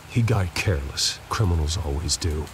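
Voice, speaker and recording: Putting on a growling character voice, a man speaks at a very deep, low pitch and a moderate pace against clear background noise. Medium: video game. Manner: intense, clipped.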